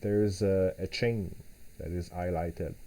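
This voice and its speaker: A man with a non-native accent and a dark, mellow tone, at a fairly slow pace over light background noise. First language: not English. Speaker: software developer; software demonstrator. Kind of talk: live tutorial. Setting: live stream at home. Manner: halting, frequent repetitions and fillers. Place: home room.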